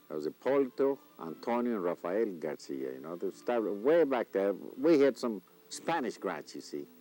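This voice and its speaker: Moderate-paced speech with an American accent and very wide pitch swings, dry and close with no echo, over music in the background. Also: man. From South Texas. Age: 70s. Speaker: rancher and former sheriff. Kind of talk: interview. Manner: halting.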